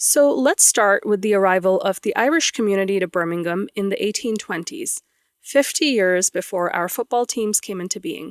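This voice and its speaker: On a very clean recording with a silent background and a dry, close sound with no echo, a woman with an American accent speaks at a moderate pace and medium pitch with lively intonation. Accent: American-sounding. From grew up mostly outside the UK, Pakistani family. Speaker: podcast host, PhD student. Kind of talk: scripted narration.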